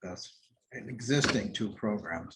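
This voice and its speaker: A man with an American accent talks at a very slow pace. His pitch varies in an ordinary way. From Milwaukee, Wisconsin, USA. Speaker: retired corporate CEO and nonprofit board chair. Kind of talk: oral history interview answer. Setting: interview recording.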